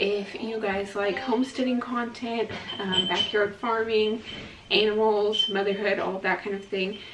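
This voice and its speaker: A woman speaks at a fairly slow pace with a fairly high pitch and fairly even intonation. Noticeable background noise and audible room echo come through. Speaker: homesteading vlogger and mother. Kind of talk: casual vlog narration. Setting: at home in kitchen. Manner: soft-spoken.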